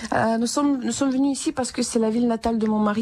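A woman with a Ukrainian accent and a dark, mellow tone. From Ukraine, Vinnytsia. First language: Ukrainian (speaking French). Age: 30s. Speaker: musician and French teacher, war refugee. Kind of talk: radio interview. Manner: halting, with many hesitations.

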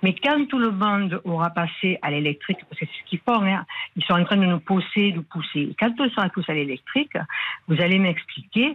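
In a southern French accent, a woman speaks at medium pitch and a moderate pace with lively intonation. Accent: southern French, sing-song. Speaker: caller, winegrower. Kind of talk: radio call-in. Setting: phone call.

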